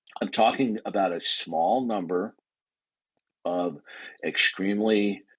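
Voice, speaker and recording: The speaker is a man with a fairly low pitch. The background is quiet. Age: 60s. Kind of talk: heated debate. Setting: online audio chat room. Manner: animated.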